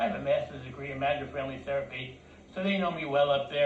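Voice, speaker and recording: With an American accent, a man talks at a very fast pace and ordinary pitch variation. Audible room echo and noticeable background noise are present. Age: 60s. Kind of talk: personal complaint, telling a story. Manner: halting, with repeated words.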